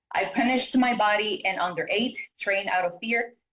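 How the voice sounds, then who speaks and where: Speaking at a moderate pace, a woman with a Spanish accent uses ordinary pitch variation. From Mexico. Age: 20s. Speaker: caller. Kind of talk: reading aloud.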